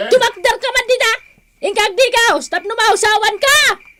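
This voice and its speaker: Someone uses a put-on character voice with an extremely high pitch at a moderate pace. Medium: old radio play. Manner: loud, scolding.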